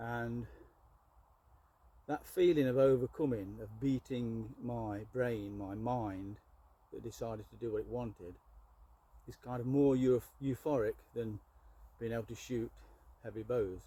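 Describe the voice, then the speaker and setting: A man's somewhat breathy, dark, mellow voice sits at medium pitch, with fairly even intonation and big swings in loudness. He talks at a fairly slow pace with long, frequent pauses. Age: 60s. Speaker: archer and bowyer. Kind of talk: tutorial. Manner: halting.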